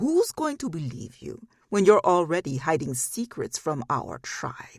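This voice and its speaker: In a put-on character voice, a man talks at a moderate pace and a high pitch. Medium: read story. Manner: smug, accusing.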